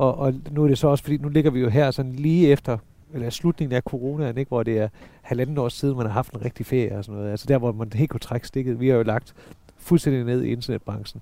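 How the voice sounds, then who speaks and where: A man rattles along at a very fast pace, his intonation staying fairly even. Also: medium pitch for a man. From northern Jutland, Denmark (Sæby). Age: 40s. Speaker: businessman. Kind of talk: casual interview. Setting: lying in beds outdoors at his home.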